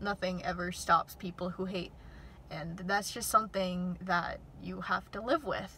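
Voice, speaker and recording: A shaky voice at a fairly slow pace, fairly even intonation, big swings in loudness and noticeable background noise. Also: woman, medium pitch for a woman. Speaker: YouTuber. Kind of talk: casual vlog. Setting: outdoors near airport.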